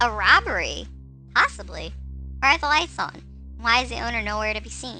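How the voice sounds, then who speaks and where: A woman's put-on character voice at a fairly quick pace, broken by long, frequent pauses, with clear music in the background. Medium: game stream.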